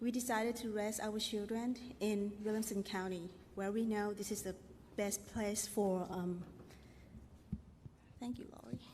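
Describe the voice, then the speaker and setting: A woman with a medium pitch speaks fairly slowly in a flat monotone, leaving long, frequent pauses. Her voice is somewhat breathy, and the room echo is audible. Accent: non-native. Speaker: parent. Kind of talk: testimony. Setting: stage with audience. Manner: halting.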